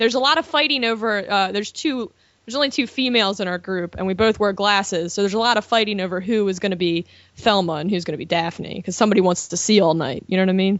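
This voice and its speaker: A woman speaks with a Baltimore accent. Her pace is very fast. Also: medium pitch for a woman, lively intonation. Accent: Baltimore accent, described as horrible. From US, Baltimore, Maryland. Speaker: film blogger and editor. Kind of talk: casual chat. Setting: studio.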